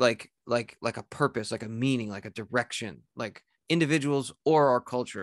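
A man with an American accent talks at a moderate pace in an ordinary speaking voice, with medium pitch, ordinary pitch variation and big swings in loudness, recorded with a dry, close sound with no echo against a quiet background. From US Northeast. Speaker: writer and podcaster. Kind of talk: casual chat.

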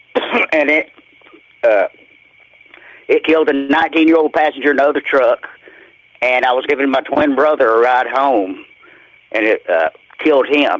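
Speaking with a Southern US accent at a moderate pace, a man with a fairly high pitch leaves long, frequent pauses, keeping very even loudness and ordinary pitch variation. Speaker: caller. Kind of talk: testimony. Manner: halting.

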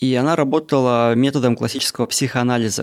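On a very clean recording with a silent background, a man talks very fast. His pitch sits in the medium range. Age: 30s. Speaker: podcaster. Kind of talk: casual monologue. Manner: casual, unedited.

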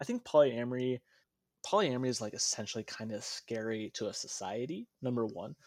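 A normal speaking voice from a man with an American accent, fairly quick pace, ordinary pitch variation, and a dry, close sound with no echo. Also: medium pitch for a man, very clean recording, silent background. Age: 20s. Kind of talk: casual interview chat. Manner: joking, playful.

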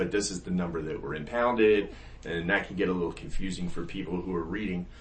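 A man with an American accent speaks at a very fast pace in a very deep, low pitch, with ordinary pitch variation, over noticeable background noise. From US North. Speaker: podcast host. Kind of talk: casual interview. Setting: office.

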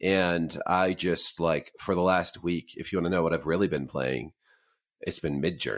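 A man with a very deep, low pitch and vocal fry speaks at a moderate pace. His pitch varies in an ordinary way on a very clean recording with a silent background. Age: 40s. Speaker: video game podcast co-host. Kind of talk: casual chat.

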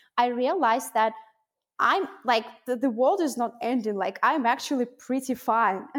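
With a Russian accent, a woman speaks in a high pitch with ordinary pitch variation. Her pace is moderate. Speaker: mindset coach and program founder. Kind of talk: interview conversation.

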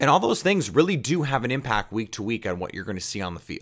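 A man at a fairly quick pace, with very wide pitch swings. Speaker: sports podcast host. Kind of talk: sports podcast talk.

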